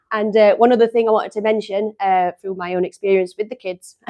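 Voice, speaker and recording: In an English accent, the speaker holds a monotone, flat intonation, in a dry, close sound with no echo. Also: woman. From England. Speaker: company staff presenter. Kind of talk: live stream product demo. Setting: live stream studio. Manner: casual, chatty.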